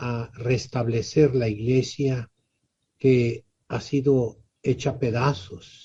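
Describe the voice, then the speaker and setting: A man speaks with a somewhat breathy voice. Its tone is dark and mellow. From Mexico, Tijuana (Baja California). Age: 70s. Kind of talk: interview.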